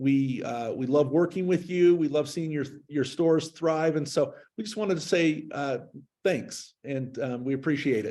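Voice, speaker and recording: A man is speaking. His tone is dark and mellow. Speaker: head of marketing, webinar moderator. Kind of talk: webinar presentation. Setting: video call. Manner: fast.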